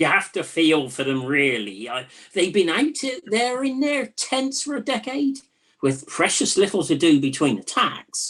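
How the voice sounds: Putting on a character voice, a woman speaks at a fairly low pitch and a fairly slow pace, with a slightly husky edge, a fairly bright tone and big pitch swings.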